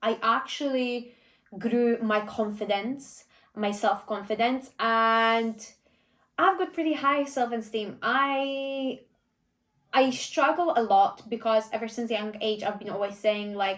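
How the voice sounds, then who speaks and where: At a very slow pace, a woman speaks with fairly high pitch and ordinary pitch variation. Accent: Polish. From Poland. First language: Polish. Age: 20s. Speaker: vlogger and personal trainer. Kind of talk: casual Q&A vlog. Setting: filmed by a friend behind the camera.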